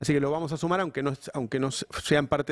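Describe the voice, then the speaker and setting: A man speaks fairly fast, the sound dry and free of echo, with a quiet background behind him. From Argentina. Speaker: news channel host. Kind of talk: live political interview. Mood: reflective, frustrated in places. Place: studio. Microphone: studio mic.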